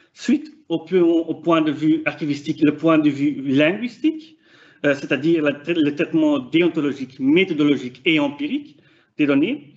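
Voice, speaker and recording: Here a man with a Flemish accent speaks at a fairly slow pace in a fairly high pitch. His intonation is fairly even and his loudness very even. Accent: non-native French, Flemish. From Flanders, Belgium. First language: Dutch (speaking French). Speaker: PhD student researcher. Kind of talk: conference presentation. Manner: hesitant, many fillers.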